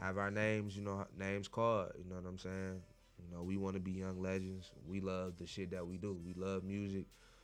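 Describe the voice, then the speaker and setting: A man with a very deep, low pitch speaks at a moderate pace in a monotone, flat intonation, with audible room echo. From Detroit east side. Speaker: rapper. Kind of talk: casual chat.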